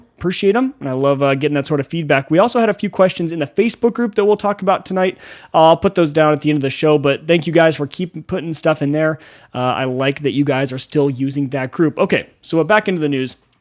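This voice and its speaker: Fairly high in pitch, a man talks at a very fast pace with ordinary pitch variation. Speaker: podcast host. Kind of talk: casual podcast chat. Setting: home studio. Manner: loud.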